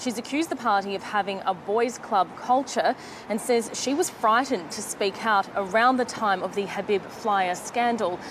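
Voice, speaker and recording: Through noticeable background noise, a woman of medium pitch talks at a moderate pace with ordinary pitch variation. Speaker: broadcast journalist. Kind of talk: TV news report.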